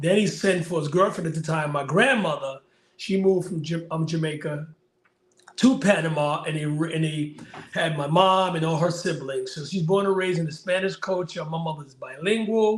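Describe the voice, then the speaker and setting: Speaking in a New York accent, a man has a high pitch and ordinary pitch variation. His pace is moderate. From Bushwick, Brooklyn, New York. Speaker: life coach. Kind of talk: interview.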